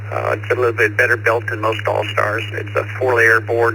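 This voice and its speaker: A man with an American accent speaks at a moderate pace in a fairly low pitch, with noticeable background noise behind him. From Southern California. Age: 70s. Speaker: ham radio operator. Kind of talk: casual chat. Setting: radio over VoIP node.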